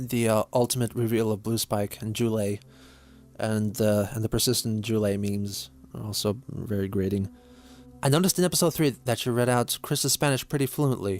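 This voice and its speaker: Ordinary pitch movement at a moderate pace, music playing underneath. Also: man, medium pitch for a man. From Lithuania. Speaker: YouTuber answering viewer questions. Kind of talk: Q&A reading viewer questions and answering. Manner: some hesitation and repeated words.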